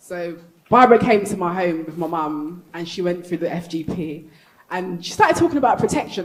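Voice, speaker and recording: A woman with a London accent and a fairly low pitch, over noticeable background noise. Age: 30s. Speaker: panel speaker sharing personal story. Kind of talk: live panel testimony. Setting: stage with audience at convention. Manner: fast.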